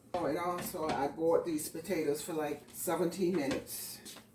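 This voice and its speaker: This speaker has a Southern US accent, heard against noticeable background noise. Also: woman. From US South. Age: 50s. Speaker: home cook. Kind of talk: cooking tutorial. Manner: casual.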